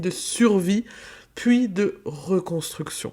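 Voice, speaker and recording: Speaking very slowly, a woman uses a medium pitch and an Alsatian accent. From France, Alsace. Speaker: business mentor, podcaster. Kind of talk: podcast monologue.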